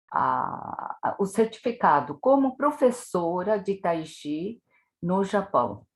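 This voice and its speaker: A woman speaks very slowly with vocal fry, her pitch swinging very widely. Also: medium pitch for a woman. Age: 70s. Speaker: tai chi instructor. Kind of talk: interview.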